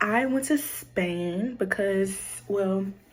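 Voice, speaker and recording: Very slow, lively-toned speech in an American accent, with noticeable background noise. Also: woman. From Louisiana, US South. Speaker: content creator, college student. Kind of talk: casual vlog storytelling. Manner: casual, filler-heavy.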